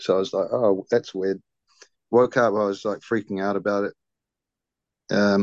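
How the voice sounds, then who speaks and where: A man with a New Zealand accent speaks at a moderate pace and a fairly low pitch, with monotone, flat intonation. The sound is dry and close with no echo, and the background is quiet. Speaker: podcaster. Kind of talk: casual interview, personal storytelling.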